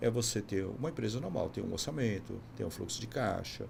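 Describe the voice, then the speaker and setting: A fairly low-pitched man with vocal fry, ordinary pitch variation and a fairly quick pace. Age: 60s. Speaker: business consultant. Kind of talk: podcast interview.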